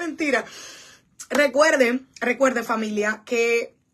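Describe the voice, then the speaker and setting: A woman speaks in an animated tone at a fairly high pitch. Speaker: pastor. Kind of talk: livestream Bible study. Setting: church livestream.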